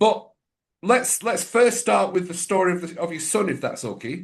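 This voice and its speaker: This is a man speaking with an English accent. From England. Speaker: podcast host, mindset coach. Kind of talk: interview.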